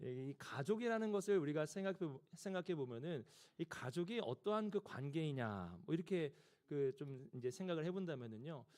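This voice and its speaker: Lively intonation at a moderate pace. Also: man, fairly high pitch for a man. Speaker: pastor. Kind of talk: sermon. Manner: speeds up when excited.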